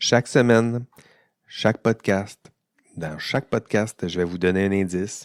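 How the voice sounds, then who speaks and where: A man's fairly low voice in a Quebec accent, fairly slow with ordinary pitch variation and long, frequent pauses. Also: very clean recording, silent background. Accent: Québécois. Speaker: university professor. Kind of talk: educational podcast monologue. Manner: casual with many hesitations.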